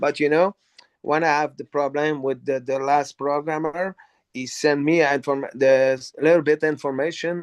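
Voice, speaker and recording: In a dry, close recording with no echo, a man with a non-native accent talks at a moderate pace in a monotone, flat intonation, with big swings in loudness. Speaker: company CEO. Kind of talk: live online business training Q&A. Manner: halting, many fillers and repeats.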